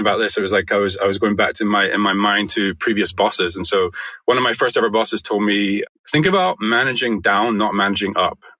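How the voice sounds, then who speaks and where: In a Scottish accent, a man speaks very fast with a fairly low pitch. His tone is bright and sharp, and his loudness stays very even. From Scotland. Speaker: design agency founder. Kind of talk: podcast interview.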